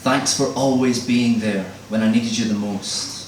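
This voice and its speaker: Fairly slow delivery from a male speaker, with noticeable background noise. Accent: Scottish. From Scotland. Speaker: spoken word poet. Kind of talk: live spoken word poetry performance. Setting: live event.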